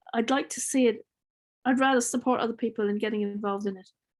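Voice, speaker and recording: With an Irish accent, a woman speaks at a fairly high pitch with ordinary variation. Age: 60s. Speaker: farmer. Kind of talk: Q&A session.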